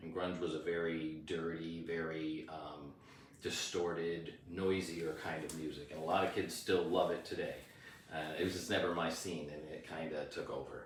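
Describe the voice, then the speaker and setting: With audible room echo around him, a man with a very deep, low pitch talks at a moderate pace in a monotone, flat intonation. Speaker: rock singer. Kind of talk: interview. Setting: on camera.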